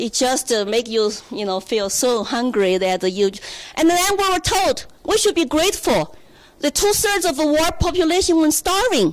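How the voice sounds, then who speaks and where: The speaker has a Chinese accent and very wide pitch swings at a moderate pace. Noticeable background noise runs underneath. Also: woman, high pitch for a woman. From China. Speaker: political candidate. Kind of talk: speech. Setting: stage with audience.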